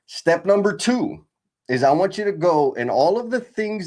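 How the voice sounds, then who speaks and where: In a very clean recording with a silent background, a man's high pitch makes very wide swings. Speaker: leadership coach for construction leaders. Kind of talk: live stream workshop. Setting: live stream. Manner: casual, energetic.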